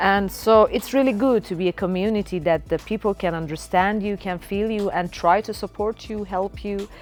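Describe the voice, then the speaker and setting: At a moderate pace and with hardly any pauses, a woman talks in a fairly even intonation. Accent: Persian. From Iran. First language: Persian. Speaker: singer and rapper. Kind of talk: interview. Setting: recording studio. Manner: halting, many fillers.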